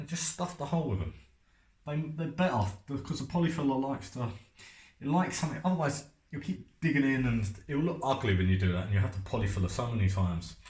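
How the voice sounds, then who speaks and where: Amid audible room echo, a man talks very fast in a somewhat breathy, medium-pitched voice, his pitch swinging very widely. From North East London, England. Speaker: painter and decorator. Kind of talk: tutorial. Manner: casual, chatty.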